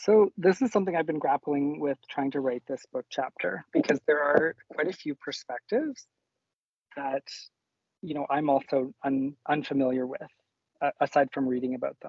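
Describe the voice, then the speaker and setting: With a Canadian accent, a man talks at a moderate pace in a fairly high pitch, using ordinary pitch variation. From rural northern Alberta, Canada. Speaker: nurse and nursing educator. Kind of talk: casual interview chat.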